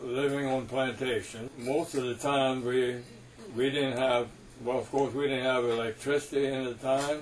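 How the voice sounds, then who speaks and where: Against noticeable background noise, a man talks at a fairly slow pace in a medium-pitched, monotone voice with flat intonation. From Louisiana, US South (Cajun). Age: 80s+. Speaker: war veteran. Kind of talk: oral history interview storytelling.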